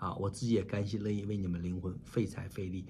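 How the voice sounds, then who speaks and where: Over light background noise, a man speaks in a dark, mellow, somewhat breathy voice. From China. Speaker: pastor. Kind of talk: sermon. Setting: online church meeting. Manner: animated. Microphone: webcam.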